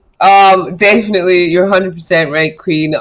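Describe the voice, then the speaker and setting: A woman with a Scottish accent. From Scotland, Edinburgh. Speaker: model, actress and comedian. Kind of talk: casual chat.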